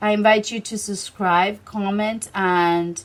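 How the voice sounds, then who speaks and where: Speaking at a very slow pace, a woman keeps her medium pitch in fairly even intonation. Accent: non-native. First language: Spanish. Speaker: tarot reader. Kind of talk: tarot reading to camera. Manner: halting, with many fillers.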